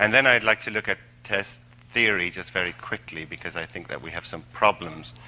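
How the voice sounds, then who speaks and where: A man with an Irish accent. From Ireland, Tipperary. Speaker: language assessment expert. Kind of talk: lecture. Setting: stage with audience. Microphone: microphone cutting out.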